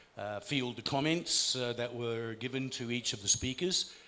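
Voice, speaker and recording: A man with an Australian accent speaks at a fairly slow pace and a medium pitch. His tone is bright and sharp, with ordinary pitch variation. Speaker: conference speaker. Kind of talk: closing remarks at a conference.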